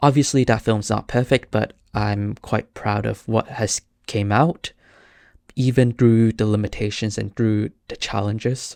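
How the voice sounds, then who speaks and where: In a very clean recording with a silent background, a man with a Cantonese accent speaks at a medium pitch and fairly slow pace, the sound dry and close with no echo. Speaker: podcast host, filmmaker. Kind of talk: casual solo podcast talk. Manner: halting, many fillers and restarts.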